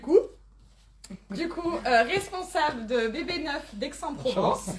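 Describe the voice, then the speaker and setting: With very wide pitch swings, a woman drawls at a very slow pace as noticeable background noise carries on. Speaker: event organizer and host. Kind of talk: event introduction. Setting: live conference, in person and online. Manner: speaking loudly.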